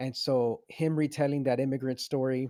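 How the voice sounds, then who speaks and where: The man's voice has a dark, mellow tone at a medium pitch. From Venezuela, raised in US from age six. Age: 30s. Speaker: podcast co-host, TV show reviewer. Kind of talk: casual chat. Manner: halting, many repeated words and fillers.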